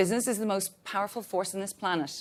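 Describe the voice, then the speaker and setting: A woman with an Irish accent, medium pitch, ordinary pitch variation and a fairly quick pace, on a very clean recording with a silent background. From Ireland. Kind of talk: panel discussion opening remarks. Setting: stage with audience. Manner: talkative.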